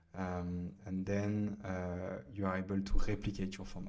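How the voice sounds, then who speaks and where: In a French accent, a man speaks fairly slowly in a fairly low pitch, his tone dark and mellow and his intonation flat and monotone. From France. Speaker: startup founder and CEO. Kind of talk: software tutorial. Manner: hesitant, many fillers.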